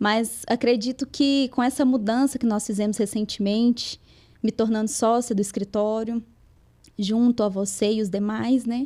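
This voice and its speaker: A woman's fairly high, dark and mellow voice with a strong Minas Gerais accent, fairly even intonation, a moderate pace, and a very clean recording against a silent background. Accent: strong interior Minas Gerais. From Minas Gerais interior, Brazil (Lagoa da Prata). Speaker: lawyer. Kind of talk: podcast interview.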